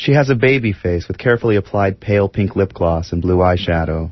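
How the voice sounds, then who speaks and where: Pitched fairly low, a man speaks at a moderate pace with lively intonation and a somewhat breathy quality. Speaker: documentary narrator. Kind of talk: scripted narration.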